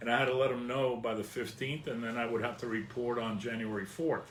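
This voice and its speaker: There is audible room echo as a man speaks with a New Jersey accent. His medium-pitched voice keeps a fairly even intonation. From northern New Jersey, Hudson County. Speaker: vlogger. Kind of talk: personal storytelling.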